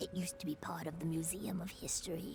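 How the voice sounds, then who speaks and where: A put-on character voice at a middle pitch races along at a very fast pace. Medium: video game. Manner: hesitant, friendly.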